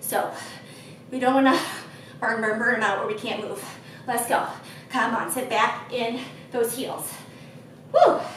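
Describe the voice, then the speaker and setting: With audible room echo and light background noise, a woman speaks at a fairly slow pace in a high pitch, her intonation monotone and flat, with long, frequent pauses. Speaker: fitness instructor. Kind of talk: workout coaching cues. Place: gym.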